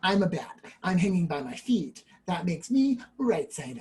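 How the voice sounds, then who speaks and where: A man puts on a character voice at a high pitch and speaks at a moderate pace. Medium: read story.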